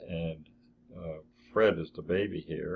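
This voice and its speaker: A man with an American accent talks at a fairly slow pace. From northern New Jersey. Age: 70s. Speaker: family memoir narrator. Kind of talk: reminiscing over photos. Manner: halting.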